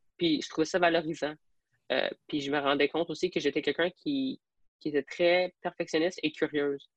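This woman has an ordinary speaking voice, fairly low in pitch, with ordinary pitch variation at a moderate pace. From Alberta, francophone community, then Quebec from age 12. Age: 20s. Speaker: police trainee and fitness athlete. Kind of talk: podcast interview.

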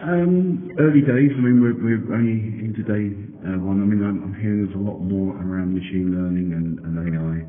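A man with a fairly low voice talks at a fairly quick pace with ordinary pitch variation. Audible room echo and noticeable background noise surround him. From Denmark. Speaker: privacy trainer and consultant. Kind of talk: interview. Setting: conference venue.

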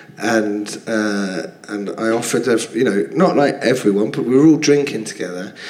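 Speaking with a London accent, a man uses a medium pitch and lively intonation at a moderate pace. Audible room echo and noticeable background noise fill the recording. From London, Finsbury Park. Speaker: comedian. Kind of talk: casual chat. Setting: stage with audience.

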